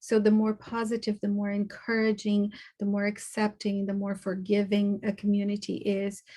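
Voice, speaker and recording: A woman speaks at a moderate pace in a somewhat breathy voice with a dark, mellow tone. Her intonation stays monotone and flat. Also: medium pitch for a woman. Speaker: conference presenter on trauma. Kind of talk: lecture.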